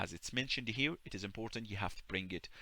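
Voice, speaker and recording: A man with an Arabic accent talks very fast in a fairly low, bright and sharp voice. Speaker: YouTuber. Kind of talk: tutorial. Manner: halting.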